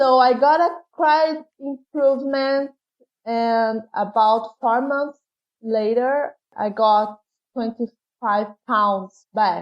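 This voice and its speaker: Speaking very slowly in a Brazilian Portuguese accent, a woman uses a high pitch with ordinary pitch variation. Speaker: patient sharing her illness story. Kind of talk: interview.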